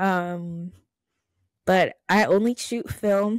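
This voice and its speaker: This woman speaks at a very slow pace with an American accent. The sound is dry with no echo, and the background is quiet. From Laurel, Maryland (DMV area); Maryland. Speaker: photographer and artist; podcast guest. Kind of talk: casual interview. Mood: relaxed, smiling. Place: home room.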